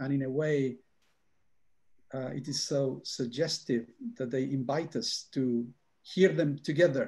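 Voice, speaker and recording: A somewhat breathy, dark, mellow male voice at medium pitch, with ordinary pitch variation, long, frequent pauses and a quiet background. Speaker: academic speaker. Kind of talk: panel Q&A answer. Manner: halting.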